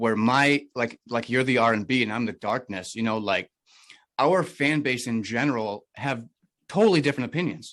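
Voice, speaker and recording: In a very clean recording with a silent background, a man talks at a medium pitch and moderate pace with ordinary pitch variation. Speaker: podcast host and rap artist. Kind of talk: casual interview chat. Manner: loud.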